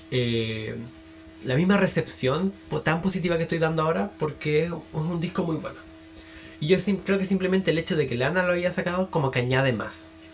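With music in the background, a man with a Chilean accent and a fairly high pitch talks fairly quickly, with ordinary pitch variation and long, frequent pauses. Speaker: podcast host and music reviewer. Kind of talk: solo album review monologue. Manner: casual, hesitant with fillers.

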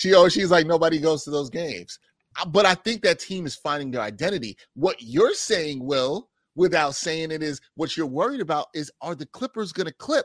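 A man's fairly high-pitched voice in a New York accent with lively intonation at a moderate pace, dry and close with no echo, in a very clean recording with a silent background. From Brooklyn, New York City. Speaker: sports journalist and radio anchor. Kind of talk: casual chat.

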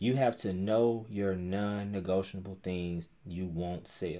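The voice belongs to a man with a fairly low pitch. His tone is dark and mellow, his intonation fairly even. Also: very clean recording, silent background. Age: 30s. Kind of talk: casual faith interview chat.

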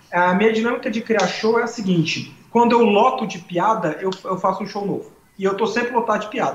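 A man with a high pitch and ordinary pitch variation speaks at a fairly quick pace, with audible room echo. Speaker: comedian. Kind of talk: casual chat. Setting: live stream.

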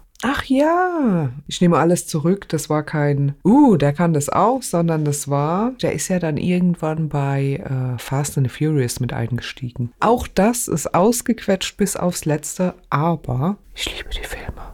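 Delivery comes at a very slow pace with hardly any pauses. The intonation is lively. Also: woman, fairly low pitch for a woman. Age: 40s. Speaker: podcast co-host, court employee. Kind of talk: casual chat.

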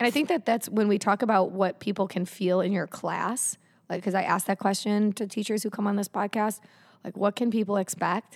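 A woman's medium-pitched voice with fairly even intonation on a very clean recording with a silent background. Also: fairly quick pace, dry, close sound with no echo. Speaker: yoga studio owner and podcast host. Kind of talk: casual interview chat. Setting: studio with headphones. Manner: fast.

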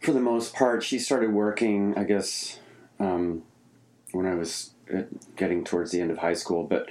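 Amid audible room echo, a man with an American accent talks at a fairly low pitch and a moderate pace, with ordinary pitch variation and long, frequent pauses. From suburban Pennsylvania near Philadelphia. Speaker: touring guitarist. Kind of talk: casual interview chat. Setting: home studio in apartment.

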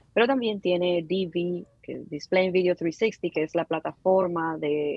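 With fairly even intonation, a woman speaks in a fairly low pitch, an unremarkable speaking voice. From Dominican Republic, Santo Domingo (Villa Mella). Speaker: digital advertising specialist. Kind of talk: interview conversation. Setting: call.

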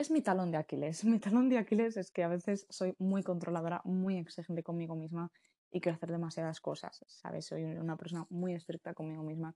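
A woman's fairly low voice carries a dark, mellow tone, with a dry, close sound and no echo. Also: ordinary pitch variation, fairly quick pace. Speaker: podcast host. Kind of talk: casual monologue. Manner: fast, rambling.

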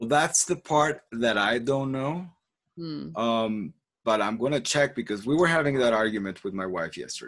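A man with a Spanish accent speaks at a medium pitch with lively intonation. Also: moderate pace. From Colombia. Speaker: podcast host, language coach. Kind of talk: casual chat. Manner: halting, many repetitions.

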